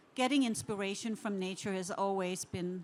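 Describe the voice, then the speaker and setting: With a Danish accent, a woman talks at a medium pitch. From Denmark. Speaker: interior design director. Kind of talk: conference talk.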